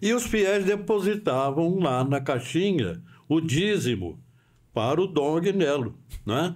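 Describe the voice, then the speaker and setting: In very wide swings, a man's pitch rises and falls. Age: 80s+. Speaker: veteran radio broadcaster. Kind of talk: podcast interview storytelling.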